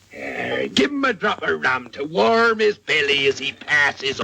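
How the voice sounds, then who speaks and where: A man puts on a character voice, pitched fairly high. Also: moderate pace. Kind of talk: theatrical pirate swagger. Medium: short film. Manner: rolling, sardonic, growling.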